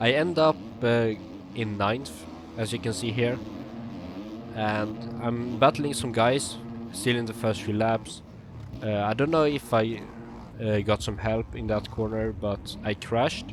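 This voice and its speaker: A man with a Swedish accent speaks at a fairly slow pace. He leaves long, frequent pauses. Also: medium pitch for a man, ordinary pitch variation. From Sweden. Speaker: sim racing gamer and coach. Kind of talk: gameplay commentary tutorial. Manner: hesitant, many fillers.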